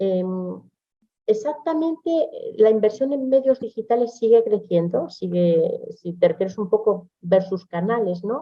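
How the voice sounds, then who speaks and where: With a Spanish accent, the speaker talks at a fairly slow pace with lively intonation. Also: woman, fairly high pitch for a woman. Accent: Spanish (Spain). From Spain. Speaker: business consultant. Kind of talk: webinar presentation with Q&A.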